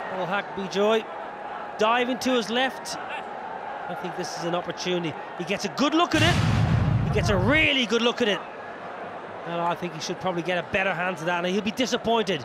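With lively intonation, a man speaks at a high pitch over noticeable background noise. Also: fairly quick pace. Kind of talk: cricket commentary.

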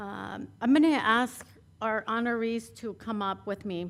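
This voice has a Spanish accent. The intonation stays fairly even. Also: woman. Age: 40s. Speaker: city councilmember. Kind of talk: personal speech at award ceremony. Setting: council chamber.

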